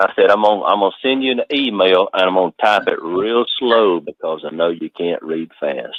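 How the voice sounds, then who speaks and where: With a North Georgia accent, a man talks with hardly any pauses. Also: moderate pace. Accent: North Georgia Southern. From North Georgia, US South. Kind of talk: casual chat.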